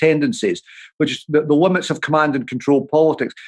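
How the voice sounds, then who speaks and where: With a Dundee accent, a man speaks very fast in a fairly high pitch. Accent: Scottish (Dundee). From Scotland, Dundee. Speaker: author and political commentator. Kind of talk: interview.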